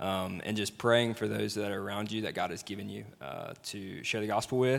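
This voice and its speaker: A man with a fairly low pitch and a Southern US accent, at a moderate pace with fairly even intonation. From Mississippi, Jackson area. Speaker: former missionary. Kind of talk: panel interview. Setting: stage with audience.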